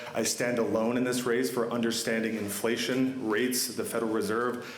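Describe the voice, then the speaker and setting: Audible room echo and noticeable background noise surround a man speaking very fast. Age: 20s. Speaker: political candidate. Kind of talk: campaign speech. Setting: town hall meeting in a chapel with audience.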